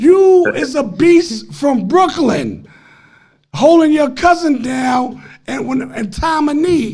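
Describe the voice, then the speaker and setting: This man has an extremely high pitch and an American accent, with lively intonation. He talks at a fairly slow pace, and the room echo is audible. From Harlem, New York City. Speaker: former street figure telling stories. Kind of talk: casual podcast chat.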